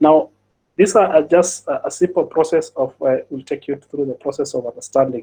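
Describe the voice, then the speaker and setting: A man with a fairly high pitch talks at a fairly quick pace in a somewhat breathy voice with a dark, mellow tone. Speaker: cybersecurity audit expert. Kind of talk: webinar presentation. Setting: online webinar. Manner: fast; halting, many fillers and repetitions.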